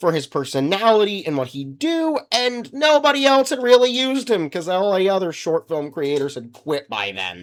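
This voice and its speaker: Moving at a fairly quick pace, a man's pitch swings very widely in a very clean recording with a silent background. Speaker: gaming YouTuber. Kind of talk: video commentary. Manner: casual, conversational.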